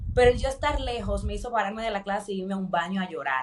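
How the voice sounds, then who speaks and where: Using a normal speaking voice, a woman keeps a fairly quick pace. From Dominican Republic. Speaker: corporate professional turned coach. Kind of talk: interview.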